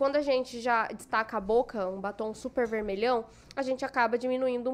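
Pitch varies in an ordinary way while the words come at a fairly quick speed. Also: woman. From Cuiabá, Mato Grosso, Brazil. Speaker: makeup artist and influencer. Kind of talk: casual chat.

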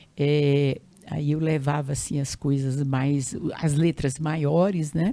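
A woman with a very deep, low pitch speaks at a very slow pace. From Brazil, Piauí (Northeast). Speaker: retired teacher and educator. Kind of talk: interview testimony. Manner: halting.

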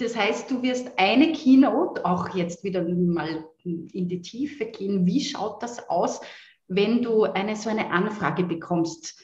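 With an Austrian accent, a woman talks at a very slow pace. Her medium pitch carries lively intonation. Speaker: voice coach and singer. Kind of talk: interview conversation. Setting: video call.

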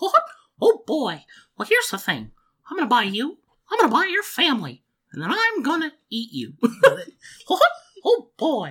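In a put-on character voice with a high pitch, the speaker moves at a moderate pace, leaving long, frequent pauses. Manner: cartoonish, menacing-cute.

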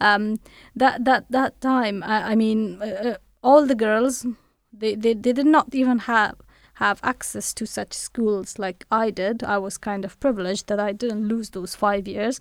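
Recorded dry and close with no echo, a woman with an Afghan accent speaks at a fairly slow pace with fairly even intonation. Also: fairly high pitch for a woman, very clean recording, silent background. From Afghanistan. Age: 30s. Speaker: human rights researcher and reporter. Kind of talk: interview. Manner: halting.

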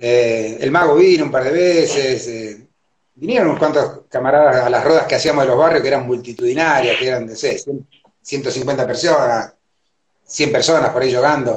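A man with an Argentine accent, a somewhat breathy, fairly high voice, a moderate pace and ordinary pitch variation. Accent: Argentine Spanish (rioplatense voseo). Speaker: capoeira teacher. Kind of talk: interview. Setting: Instagram live video call.

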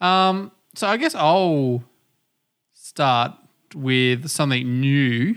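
A man with an Australian accent speaks very slowly at a fairly high pitch, his intonation lively and broken by long, frequent pauses, on a very clean recording with a silent background. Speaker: podcast host. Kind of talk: casual chat. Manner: animated, talks with hands.

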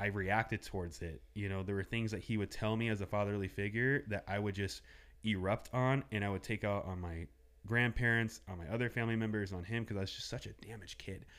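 A man with an American accent, fairly low pitch, fairly even intonation, and a very fast pace. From Southern California (805 area code). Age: 30s. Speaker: small business owner. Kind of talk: casual interview chat.

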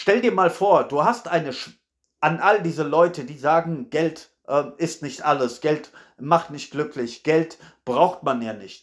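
A normal speaking voice with lively intonation at a fairly slow pace, in a very clean recording with a silent background. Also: man, fairly high pitch for a man. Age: 30s. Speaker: podcaster. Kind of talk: solo monologue. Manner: casual, frequent fillers.

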